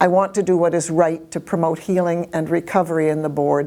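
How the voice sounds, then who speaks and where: Her dark, mellow tone stays monotone and flat as this woman talks at a fairly quick pace. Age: 80s+. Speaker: school board trustee. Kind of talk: public statement. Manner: formal.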